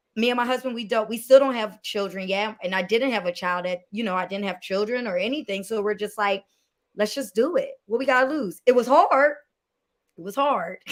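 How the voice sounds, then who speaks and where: A woman with an ordinary speaking voice and a fairly high pitch talks at a fairly quick pace with ordinary pitch variation. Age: 30s. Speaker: filmmaker and producer. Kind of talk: interview conversation.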